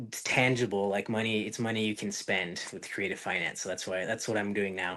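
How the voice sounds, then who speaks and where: A fairly quick, monotone man with a fairly low pitch, a bright, sharp tone and an American accent. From US, northern Utah. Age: 20s. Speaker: real estate investor. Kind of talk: podcast interview. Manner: halting with many fillers.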